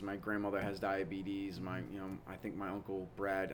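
A man with an American accent speaks, and audible room echo can be heard around him. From Massachusetts south coast. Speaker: wellness business owner, army veteran. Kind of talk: interview. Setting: at his business premises.

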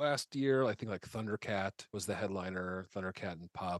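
Recorded dry and close with no echo over a quiet background, a man speaks with lively intonation in a Midwestern American accent. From Nebraska. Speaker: stand-up comedian. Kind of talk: casual chat. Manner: halting.

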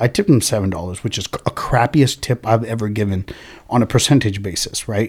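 A man's medium-pitched, somewhat breathy voice with an American accent, very fast pace and ordinary pitch variation, in a dry, close sound with no echo. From California (Oxnard/Ventura). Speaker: local business owner. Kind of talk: casual chat. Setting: studio.

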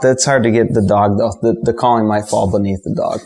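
With music in the background, a man talks at a fairly quick pace. His fairly low pitch shows ordinary variation. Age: 30s. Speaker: waterfowl hunter. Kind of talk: casual chat. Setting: studio.

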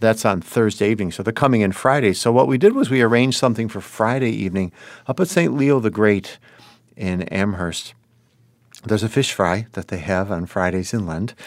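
Here a man with a Western New York accent talks at a fairly quick pace. His pitch is fairly low, with ordinary variation. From US, Buffalo, New York. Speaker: priest. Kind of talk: casual interview. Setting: studio.

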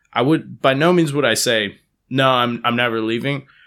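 Heard on a very clean recording with a silent background, a man with a Californian accent has a bright, sharp tone. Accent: Californian American. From Palo Alto, California. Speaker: guest. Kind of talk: casual chat.

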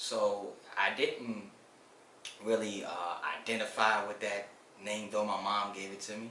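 Noticeable background noise and audible room echo surround a man with a fairly low pitch and flat, monotone intonation. His loudness swings widely, and he leaves long, frequent pauses. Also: fairly slow pace. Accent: American. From Washington, D.C. and South Carolina. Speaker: collections team leader and community mentor. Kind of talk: interview. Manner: halting, many fillers.

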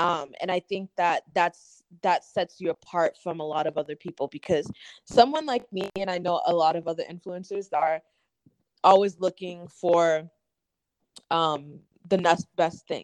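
With an American accent, a woman talks at a moderate pace in an ordinary speaking voice, her fairly low pitch carried on fairly even intonation in a dry, close sound with no echo. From Massachusetts. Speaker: influencer and model. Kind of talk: casual chat.

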